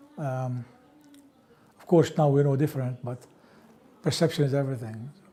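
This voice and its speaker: A man's fairly high, somewhat breathy voice with a dark, mellow tone, fairly even intonation, big swings in loudness and a moderate pace. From Palestine, Ramallah. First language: Arabic. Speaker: interviewee sharing life history. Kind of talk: oral history interview.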